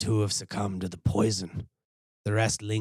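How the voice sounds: The recording features a natural reading voice over a quiet background.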